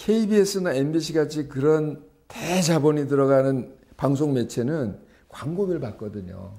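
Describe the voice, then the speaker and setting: Audible room echo surrounds a man whose fairly high, dark, mellow voice moves at a moderate pace with lively intonation. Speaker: art journalist and lecturer. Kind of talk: lecture. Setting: gallery talk with audience. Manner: halting, many fillers.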